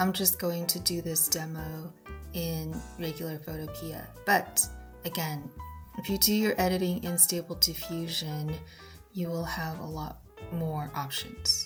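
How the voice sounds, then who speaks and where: Fairly slow speech over music in the background. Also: woman. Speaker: tutorial creator. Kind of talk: tutorial. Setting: voiceover recorded after filming.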